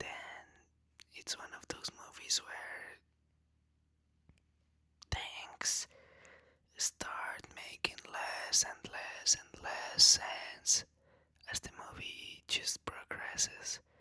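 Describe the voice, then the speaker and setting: A man whispers at a very slow pace with long, frequent pauses and big swings in loudness. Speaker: ASMR creator. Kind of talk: boyfriend roleplay whisper ramble for relaxation. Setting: close-mic recording. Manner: whispered, soft, casual.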